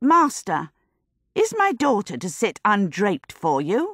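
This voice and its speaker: A woman's put-on character voice, medium in pitch with very wide pitch swings, at a fairly slow pace and with a dry, close sound with no echo. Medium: read story. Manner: brisk, sharp.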